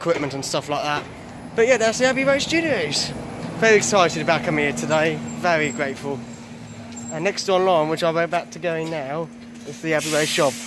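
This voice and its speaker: Over noticeable background noise, a man talks at a fairly quick pace with lively intonation, the sound dry and free of echo. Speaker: travel vlogger. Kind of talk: casual vlog chat. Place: street. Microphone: phone near.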